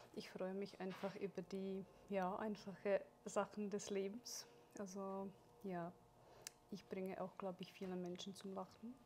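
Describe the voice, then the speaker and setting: A woman's monotone, flat delivery with long, frequent pauses and light background noise. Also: fairly slow pace. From Czechoslovakia. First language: Czech (speaking German). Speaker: seminar speaker; speaker. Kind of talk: interview. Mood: warm, cheerful. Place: shop.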